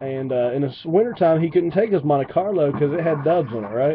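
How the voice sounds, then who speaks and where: A man with an Appalachian accent talks at a fairly quick pace in a fairly high pitch with ordinary pitch variation, over noticeable background noise. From West Virginia. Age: 20s. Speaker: gaming commentator. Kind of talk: casual gameplay commentary storytelling. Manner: rambling with many fillers.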